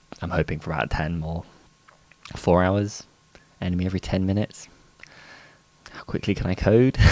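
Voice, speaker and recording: Very deep and low, a man's voice moves at a fairly quick pace with ordinary pitch variation. He leaves long, frequent pauses. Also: dry sound with no echo. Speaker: indie game developer. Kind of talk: dev log vlog. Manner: casual, hesitant with many fillers. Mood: upbeat, smiling. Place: home room. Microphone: studio mic.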